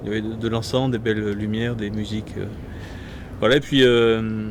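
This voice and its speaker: The speaker is a man. Noticeable background noise runs behind him. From southern France, Gard. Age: 20s. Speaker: priest-to-be, seminarian. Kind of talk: interview. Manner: halting, many hesitations.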